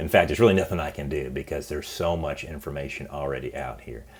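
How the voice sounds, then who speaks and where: Lively intonation and vocal fry mark a man talking at a very fast pace. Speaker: college business professor. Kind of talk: course orientation lecture. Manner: casual, encouraging.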